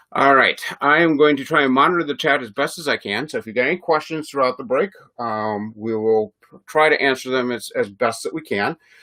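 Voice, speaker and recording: The voice has a bright, sharp tone and a Chicago accent. It moves at a fairly quick pace with ordinary pitch variation. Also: man, fairly high pitch for a man. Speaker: sports card breaker. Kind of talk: live stream card break. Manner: casual, filler-heavy.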